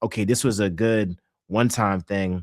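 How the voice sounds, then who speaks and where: The recording is very clean, with a silent background and a dry, close sound with no echo, as a man with an American accent speaks at a fairly low pitch. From Philadelphia, US. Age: 20s. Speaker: sports analyst and podcaster. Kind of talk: interview.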